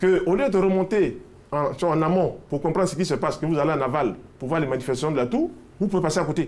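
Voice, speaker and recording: A man talks very fast in a fairly high pitch. His pitch varies in an ordinary way, and noticeable background noise is present. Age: 60s. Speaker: health expert. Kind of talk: TV health interview.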